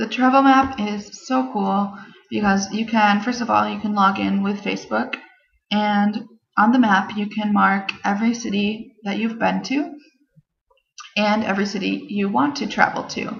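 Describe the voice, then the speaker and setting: The voice is somewhat breathy, with ordinary pitch variation and audible room echo. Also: woman, medium pitch for a woman, moderate pace. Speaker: travel vlogger. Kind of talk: casual vlog talk to camera. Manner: enthusiastic.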